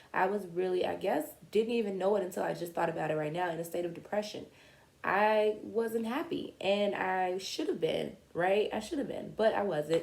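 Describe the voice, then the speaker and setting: Speaking in a plain, everyday voice, a woman talks at medium pitch and a moderate pace with lively intonation. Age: 30s. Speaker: vlogger. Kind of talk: personal story monologue. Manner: casual, conversational.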